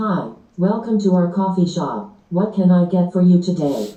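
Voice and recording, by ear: This put-on character voice sounds robotic at a middle pitch, moving at a fairly slow pace with a slight echo.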